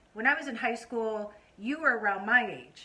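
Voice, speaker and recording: There is noticeable background noise. A woman talks at a moderate pace in a high voice. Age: 50s. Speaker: vlogger and host interviewing her mother. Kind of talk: casual talk to camera.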